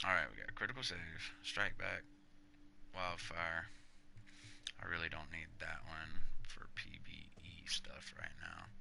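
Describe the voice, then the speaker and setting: In a room with audible echo, a man with very deep, low pitch and vocal fry speaks at a fairly slow pace, his bright, sharp tone showing ordinary pitch variation between long, frequent pauses. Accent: American. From US South, Panama City, Florida. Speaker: gaming livestreamer. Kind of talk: live gameplay stream commentary. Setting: live stream. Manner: casual, animated.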